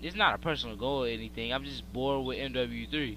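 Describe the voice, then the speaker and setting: A man talks at a moderate pace, with audible room echo in the recording. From Pennsylvania, US. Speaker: gaming YouTuber. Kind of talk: live gameplay commentary. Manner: casual, hesitant with many fillers.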